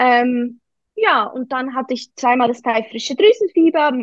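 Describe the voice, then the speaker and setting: The sound is dry and close, with no echo. A woman speaks at a high pitch. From Switzerland, Canton of Bern. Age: 20s. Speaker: network marketer. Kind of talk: casual chat.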